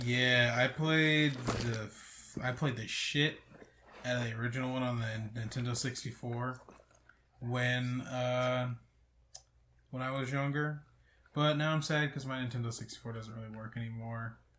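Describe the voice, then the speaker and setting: Soft-spoken, a man talks at medium pitch in a bright, sharp tone with monotone, flat intonation. His pace is fairly slow, with long, frequent pauses. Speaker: podcast co-host. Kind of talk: casual chat. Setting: friend's house, one shared mic. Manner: quiet, soft-spoken. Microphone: too quiet on the shared mic.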